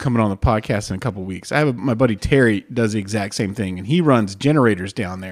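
A man with an American accent and an unremarkable speaking voice talks at a fairly quick pace and medium pitch, his intonation lively. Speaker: podcast host. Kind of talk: casual banter interview. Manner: joking, profane.

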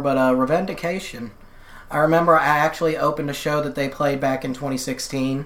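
A woman's voice over noticeable background noise. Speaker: musician. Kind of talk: casual interview chat.

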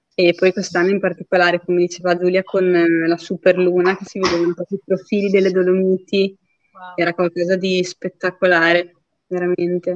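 Her medium-pitched voice flat and monotone, a woman talks fairly quickly in a dry, close sound with no echo. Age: 30s. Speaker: ultra trail runner. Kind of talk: casual interview.

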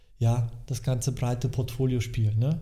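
Amid audible room echo, a man speaks at a fairly slow pace in a dark, mellow, somewhat breathy tone with monotone, flat intonation. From Germany, East Westphalia-Lippe. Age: 40s. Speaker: financial advisor. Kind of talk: casual interview. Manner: halting, many fillers.

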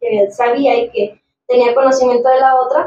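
With fairly even intonation, a high-pitched woman talks at a moderate speed. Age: 30s. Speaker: barber and business owner. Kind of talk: casual chat. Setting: studio.

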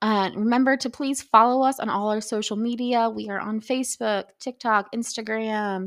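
A woman with an unremarkable speaking voice talks at a moderate pace, her fairly high pitch held in a fairly even intonation, on a very clean recording with a silent background. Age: 30s. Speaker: podcast co-host. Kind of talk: casual chat.

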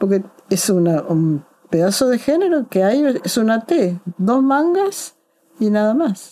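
A woman talks with lively intonation in a dark, mellow tone. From Argentina, Córdoba. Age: 80s+. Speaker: journalist and author. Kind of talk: interview. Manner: halting, with repetitions.

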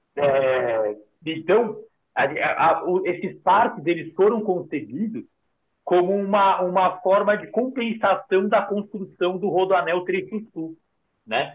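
Very slow speech from a man, high-pitched with ordinary pitch variation. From São Paulo, south zone (Interlagos). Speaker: urban park manager. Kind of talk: casual interview chat.

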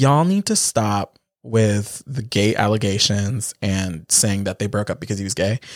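This man has an ordinary speaking voice with fairly low pitch and ordinary pitch variation, moving at a moderate pace with hardly any pauses. The recording is very clean, with a silent background and a dry, close sound with no echo. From Philippines, raised in Canada. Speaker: podcast co-host. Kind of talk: casual chat. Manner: silly, joking.

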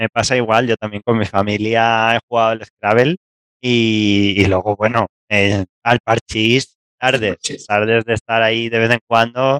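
A man speaks with a central Spanish accent at a fairly slow pace. The sound is dry and close with no echo, and his intonation is monotone and flat. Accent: central Spain Spanish. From Spain, Castilla-La Mancha. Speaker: researcher. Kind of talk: interview.

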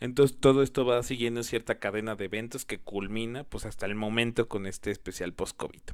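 At a fairly quick pace and with hardly any pauses, a man talks at a medium pitch with fairly even intonation. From Mexico. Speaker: podcast host. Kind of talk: solo podcast commentary. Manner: hesitant, many fillers.

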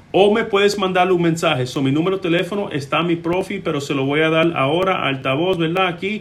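A man with a high voice talks at a fairly quick pace, with ordinary pitch variation and hardly any pauses. Noticeable background noise and audible room echo fill the recording. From Puerto Rico. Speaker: immigration lawyer. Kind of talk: live-stream Q&A. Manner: hesitant, many filler sounds.

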